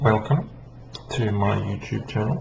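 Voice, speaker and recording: A man speaks very slowly at a medium pitch, with an Australian accent. The room echoes audibly, and there is noticeable background noise. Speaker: psychic medium. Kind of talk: casual vlog talk. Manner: hesitant, many ums.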